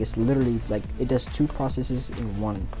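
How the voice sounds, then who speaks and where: Over music in the background, a woman talks with a very deep, low pitch, and the room echo is audible. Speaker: gaming YouTuber. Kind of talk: tutorial. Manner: casual, halting with fillers; stutters over words.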